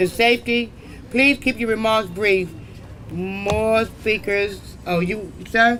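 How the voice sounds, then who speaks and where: Over noticeable background noise, a man speaks in a raised, projected voice at a high pitch, very slowly and with long, frequent pauses. His intonation is fairly even. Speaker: event moderator. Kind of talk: event moderation.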